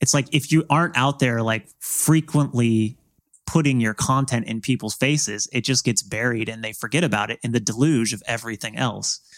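An unremarkable speaking voice from a man at medium pitch and moderate pace, dry and close with no echo. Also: ordinary pitch variation. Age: 30s. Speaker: translator of Japanese game developer interviews. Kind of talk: casual interview conversation.

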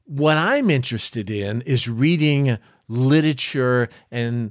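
With lively intonation, a normal speaking voice comes through on a very clean recording with a silent background. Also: man. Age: 60s. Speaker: pastor. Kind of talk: devotional teaching.

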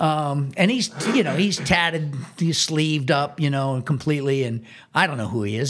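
An American-accented man talks at a moderate pace with a fairly high pitch. It is an ordinary speaking voice with ordinary pitch variation. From Washington, D.C. area. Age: 60s. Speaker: drummer. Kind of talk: casual chat.

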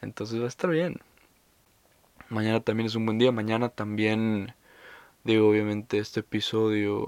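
A man with a Mexican accent speaks at a medium pitch in a monotone, flat intonation. The sound is dry and close with no echo. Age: 20s. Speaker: podcaster. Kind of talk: casual monologue. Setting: under a staircase at home. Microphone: new recording setup.

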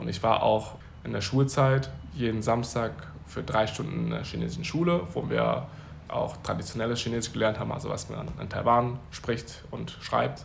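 A man talks at a moderate pace, and audible room echo can be heard around his words. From Germany. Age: 20s. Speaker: podcast guest. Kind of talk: casual interview. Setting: Uganda, near Kampala.

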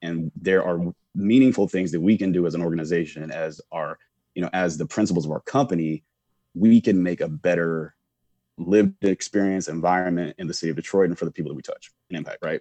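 Very fast, a man with an American accent talks in a very deep, low pitch with ordinary pitch variation and a dark, mellow tone. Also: dry, close sound with no echo. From US South, Charlotte, North Carolina. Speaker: commercial real estate professional. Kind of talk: interview conversation.

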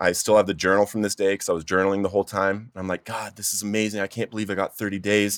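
A man talks at a very fast pace with a fairly low pitch and monotone, flat intonation. The recording is very clean with a silent background and a dry, close sound with no echo. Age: 30s. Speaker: author in addiction recovery. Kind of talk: testimony. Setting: studio.

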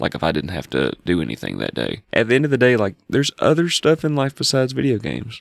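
A man talks very fast at a medium pitch with vocal fry, very wide pitch swings and hardly any pauses. The sound is dry and close, with no echo. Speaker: podcast host. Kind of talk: casual chat. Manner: casual, filler-heavy.

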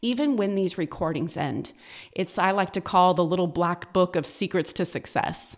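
At a moderate pace, a woman with a medium pitch speaks with an American accent. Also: very clean recording, silent background. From California. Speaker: podcast host and author. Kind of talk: motivational solo podcast.

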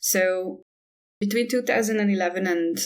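A woman with a Hungarian accent at a moderate pace. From Hungary. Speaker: artist and environmental activist. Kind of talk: interview.

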